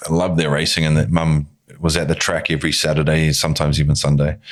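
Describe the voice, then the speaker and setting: Noticeable background noise sits behind a man speaking very fast in a New Zealand accent. His pitch is very deep and low, and his intonation stays fairly even. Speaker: filmmaker and actor. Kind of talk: casual chat.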